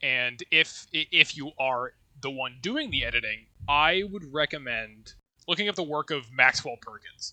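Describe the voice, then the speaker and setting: Dry and close with no echo, a man's bright, sharp voice moves fairly slowly at a fairly high pitch with lively intonation. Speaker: podcast co-host. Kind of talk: casual chat.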